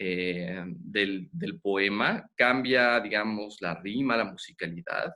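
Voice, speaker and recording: Lively intonation marks a man's very slow delivery. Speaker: children's reading program host. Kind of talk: interview.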